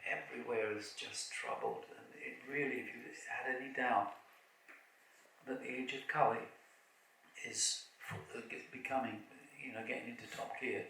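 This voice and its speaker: A man at a moderate pace, with big swings in loudness, long, frequent pauses, audible room echo and noticeable background noise. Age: 70s. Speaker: kirtan leader and spiritual speaker. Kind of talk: festival opening talk. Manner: halting, with many fillers and repetitions.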